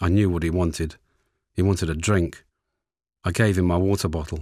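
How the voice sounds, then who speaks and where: On a very clean recording with a silent background, a man with a Lancashire accent speaks at a moderate pace in a very deep, low pitch with monotone, flat intonation. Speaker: war veteran. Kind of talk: recorded oral history recollection.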